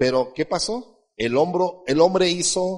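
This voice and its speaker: A high-pitched man's voice with ordinary pitch variation. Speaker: pastor. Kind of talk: sermon.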